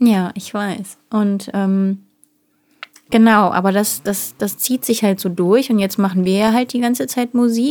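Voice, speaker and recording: This woman speaks at a fairly slow pace. Her medium pitch shows ordinary variation. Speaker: singer and podcast co-host. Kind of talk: casual chat. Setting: small home studio.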